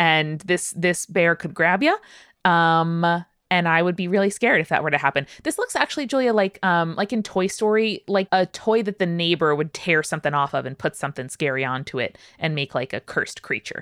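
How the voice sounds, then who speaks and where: A plain, everyday voice moves at a fairly quick pace with lively intonation in a very clean recording with a silent background. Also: woman, fairly low pitch for a woman. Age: 30s. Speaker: podcast host. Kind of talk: casual chat.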